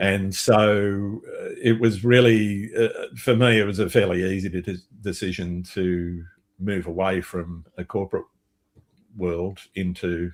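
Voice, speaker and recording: A man with an Australian accent speaks fairly slowly at a fairly low pitch, his intonation fairly even. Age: 60s. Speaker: landscape photographer and podcast host. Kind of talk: casual interview chat.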